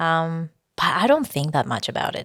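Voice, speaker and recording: A woman speaks with a Spanish accent at a moderate pace. Her pitch is very deep and low, and the sound is dry and close with no echo. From Spain, Barcelona. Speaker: singer-songwriter. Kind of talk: interview. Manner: hesitant, many fillers.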